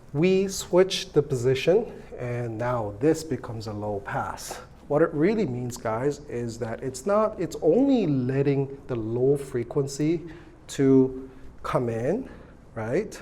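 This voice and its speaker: A man's fairly high, lively voice at a very slow pace over noticeable background noise. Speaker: electronics teacher. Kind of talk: lecture. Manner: casual, hesitant with fillers.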